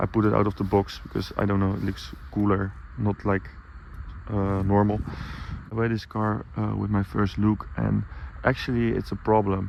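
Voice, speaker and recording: A man with a non-native accent and a fairly low voice shows ordinary pitch variation. He leaves long, frequent pauses over noticeable background noise. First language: Dutch. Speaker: car vlogger. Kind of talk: casual vlog talk. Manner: halting, many fillers.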